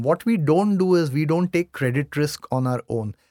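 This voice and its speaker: Here a man speaks at a moderate pace with a fairly high pitch and ordinary pitch variation. His sound is dry and close with no echo, on a very clean recording with a silent background. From Mumbai, India. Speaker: company CEO. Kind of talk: casual interview conversation.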